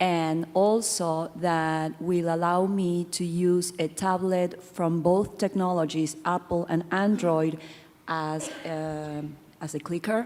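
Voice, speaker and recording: The speech moves at a very slow pace with fairly even intonation. Noticeable background noise runs underneath. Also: woman, fairly low pitch for a woman. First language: not English. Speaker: audience member asking a question. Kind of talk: audience question.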